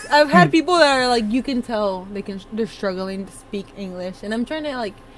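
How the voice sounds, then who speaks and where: A woman's normal speaking voice, fairly high in pitch, at a fairly quick pace, with lively intonation and big swings in loudness. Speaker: podcast co-host. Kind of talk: casual chat.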